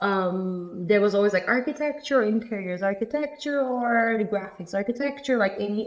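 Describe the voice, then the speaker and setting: A woman with a Turkish accent, at a moderate pace with lively intonation. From Turkey, Antalya. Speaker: architect. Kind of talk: casual chat.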